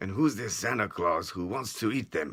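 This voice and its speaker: A man puts on a raspy character voice with a fairly low pitch. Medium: read story. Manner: commanding.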